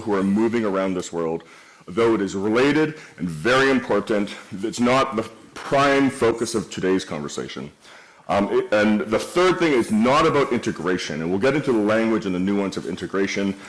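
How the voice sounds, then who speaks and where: A man with a Canadian accent, a plain, everyday voice, a medium pitch and a fairly quick pace. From Canada. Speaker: event host, moderator. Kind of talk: moderated panel discussion. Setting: stage with audience.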